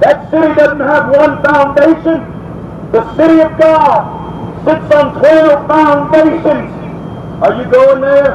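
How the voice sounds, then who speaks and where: The man's pitch is extremely high. Noticeable background noise can be heard. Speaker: street preacher. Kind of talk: street sermon, preaching. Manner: forceful, confrontational. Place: street. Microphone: camera far.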